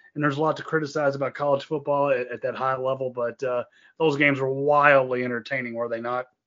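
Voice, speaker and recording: A man's fairly high voice, very fast and monotone, with flat intonation. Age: 50s. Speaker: podcast co-host. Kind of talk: casual chat.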